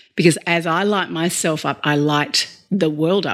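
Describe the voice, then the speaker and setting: Very deep, low pitch from a woman with an Australian accent at a moderate pace, on a very clean recording with a silent background. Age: 40s. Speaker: leadership coach. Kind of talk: interview conversation.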